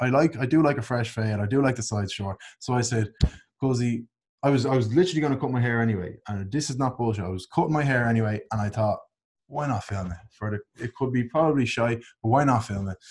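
Speaking at a very fast pace with an Irish accent, a man uses a medium, somewhat breathy voice and ordinary pitch variation on a very clean recording with a silent background. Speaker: podcast co-host, online content creator. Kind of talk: casual chat.

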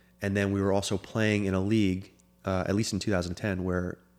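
Over music in the background, a man talks at a fairly quick pace in a fairly low, flat monotone. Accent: American. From Florida. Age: 30s. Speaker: former soccer goalkeeper and sports agent. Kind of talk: casual interview.

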